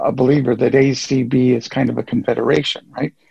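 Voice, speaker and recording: A man's voice with vocal fry and fairly even intonation. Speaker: caller. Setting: phone call.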